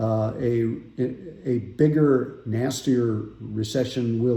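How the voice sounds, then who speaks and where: The tone is dark and mellow, with fairly even intonation. Room echo is audible. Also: man. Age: 60s. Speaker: financial advisor. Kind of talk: casual market update talk. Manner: conversational with filler words.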